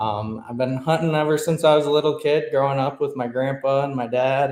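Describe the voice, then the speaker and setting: In an American accent, a man with a plain, everyday voice speaks at a moderate pace, his pitch fairly high and his intonation fairly even. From Mid-Michigan. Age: 20s. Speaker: hunter and real estate agent. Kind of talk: interview. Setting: podcast.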